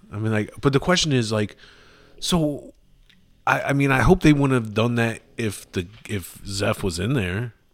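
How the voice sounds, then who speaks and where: A man with an unremarkable speaking voice talks at a moderate pace and medium pitch, with lively intonation. The recording is very clean, with a silent background. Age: 30s. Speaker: returning podcast guest, friend of host. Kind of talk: casual chat.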